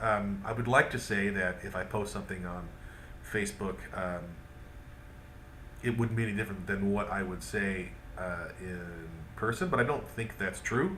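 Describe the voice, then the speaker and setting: A man at a moderate pace, with audible room echo. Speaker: vlogger. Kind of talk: video diary monologue. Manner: hesitant, many fillers.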